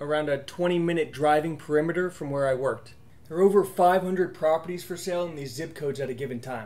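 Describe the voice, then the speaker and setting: Ordinary pitch variation marks a man speaking at a very fast pace. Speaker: real estate investor vlogger. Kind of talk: casual vlog narration and tutorial. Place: home room.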